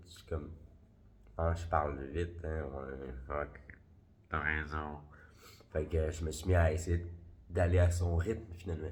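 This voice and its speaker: A man with a Quebec accent, a very deep, low pitch, a somewhat breathy voice and a fairly slow pace, with audible room echo. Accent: Québécois French. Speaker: spiritual vlogger. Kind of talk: casual vlog monologue. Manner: hesitant fillers.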